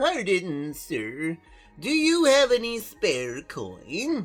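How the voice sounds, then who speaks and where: In a put-on character voice at a middle pitch, the speaker talks at a very slow pace over faint music in the background. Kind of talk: archaic, formal. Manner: pleading, polite, old-fashioned.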